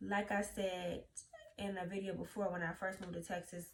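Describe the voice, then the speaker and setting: Vocal fry with monotone, flat intonation in a Louisiana accent. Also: woman. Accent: Southern US (Louisiana). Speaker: YouTuber. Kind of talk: casual vlog talk.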